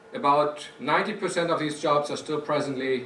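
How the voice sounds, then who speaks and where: The man's pitch is fairly high and his pace moderate. Audible room echo surrounds his voice. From Germany. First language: German. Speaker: company executive. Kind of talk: prepared speech.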